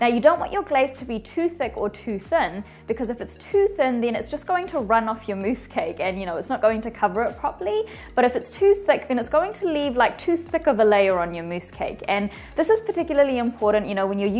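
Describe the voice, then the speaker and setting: A woman speaks at a high pitch. Her pitch swings very widely. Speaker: baking instructor. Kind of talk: tutorial. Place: studio. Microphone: lapel.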